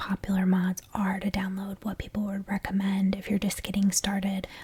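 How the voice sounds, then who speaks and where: A soft-spoken voice at a moderate pace, over noticeable background noise. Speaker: ASMR creator. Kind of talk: tutorial.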